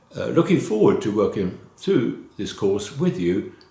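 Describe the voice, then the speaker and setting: With a British accent, a man talks at a moderate pace in a dark, mellow, somewhat breathy tone, his pitch swinging very widely amid audible room echo. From London, England. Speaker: college instructor. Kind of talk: course introduction lecture. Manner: informal, with filler hesitations.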